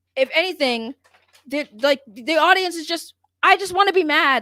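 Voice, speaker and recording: A woman's raised, projected voice with ordinary pitch variation. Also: dry, close sound with no echo. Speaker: pop culture podcast co-host. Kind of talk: casual chat.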